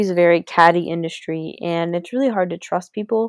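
Recorded dry and close with no echo, a woman with a plain, everyday voice talks at a fairly quick pace with a fairly low pitch and ordinary pitch variation. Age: 20s. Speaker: beauty podcaster and cosmetologist. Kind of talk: casual monologue. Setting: at home, sitting in her brother's room.

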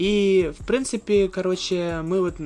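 This is a man talking at a high pitch. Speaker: podcast host. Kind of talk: casual chat. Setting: museum library.

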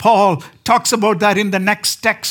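This man talks at a fairly slow pace in a high pitch, his intonation monotone and flat. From southern India. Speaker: preacher. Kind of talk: sermon. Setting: church.

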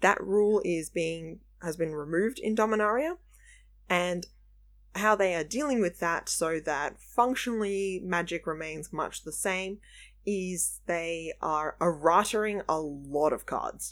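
A woman with an Australian accent, fairly low in pitch with ordinary pitch variation, at a fairly slow pace, in a very clean recording with a silent background. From Melbourne, Australia. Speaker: podcast host and card game judge. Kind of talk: casual chat podcast discussion.

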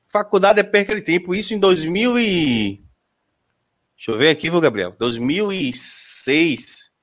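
This man's high voice carries lively intonation. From Sergipe, Brazil. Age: 30s. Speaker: podcast host. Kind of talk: casual chat. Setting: live stream.

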